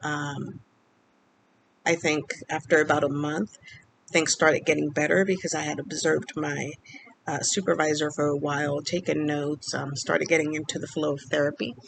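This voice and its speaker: Speaking at a moderate pace, a woman shows vocal fry and very deep, low pitch with fairly even intonation. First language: Spanish. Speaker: speech-language pathologist vlogger. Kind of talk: personal vlog storytelling. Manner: hesitant, many fillers.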